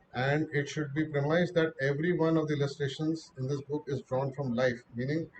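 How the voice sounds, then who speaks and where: A man speaks with a fairly high pitch and monotone, flat intonation. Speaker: lecturer on theosophy. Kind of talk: lecture. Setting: online meeting.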